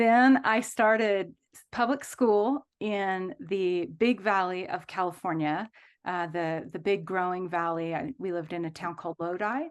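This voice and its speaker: At a fairly slow pace with hardly any pauses, the voice carries a slight Texas accent, ordinary pitch variation and big swings in loudness against a quiet background. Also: woman, medium pitch for a woman. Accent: slight Texas lilt. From Kansas, with early years in Texas. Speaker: hospital chaplain and seminary professor. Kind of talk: casual interview. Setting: video call.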